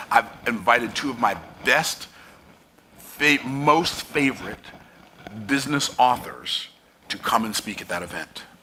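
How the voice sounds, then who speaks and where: A man's animated voice at medium pitch, fairly slow and broken by long, frequent pauses, with ordinary pitch variation, big swings in loudness and noticeable background noise. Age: 60s. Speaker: business coach. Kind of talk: motivational talk.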